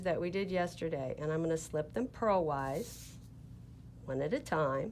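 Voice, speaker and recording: A woman with an American accent at a fairly slow pace. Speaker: knitting teacher, yarn shop owner. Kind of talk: tutorial. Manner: slow, deliberate.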